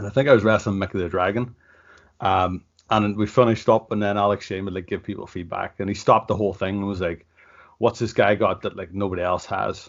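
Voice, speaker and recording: In a Northern Irish accent, the speaker talks at a very fast pace. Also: man, fairly low pitch for a man. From Ireland. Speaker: professional wrestler. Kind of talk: casual interview. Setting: video call. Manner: casual, lots of filler words.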